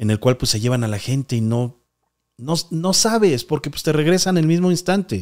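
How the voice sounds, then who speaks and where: A man with a Mexican accent speaks in a fairly high voice at a moderate pace. His tone is animated, with very wide pitch swings. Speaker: paranormal podcast host. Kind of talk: live stream call-in show.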